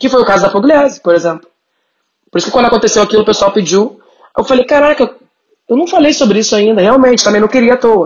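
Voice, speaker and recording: The speech runs at a very fast pace with lively intonation and very even loudness, broken by long, frequent pauses. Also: woman, fairly high pitch for a woman. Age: 30s. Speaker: content creator and writer. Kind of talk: casual chat.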